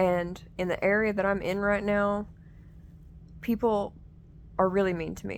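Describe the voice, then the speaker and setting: A woman speaks fairly slowly in a flat monotone, leaving long, frequent pauses. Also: medium pitch for a woman. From US South, Southern Appalachia. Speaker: content creator. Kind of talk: casual vlog monologue. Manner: conversational, with fillers.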